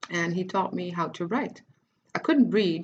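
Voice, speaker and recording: A woman with a fairly low pitch and vocal fry talks at a moderate pace with ordinary pitch variation. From Netherlands, Cape Verdean family. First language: Dutch. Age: 30s. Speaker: writer and life coach. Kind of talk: personal life story monologue. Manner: halting, many false starts; casual.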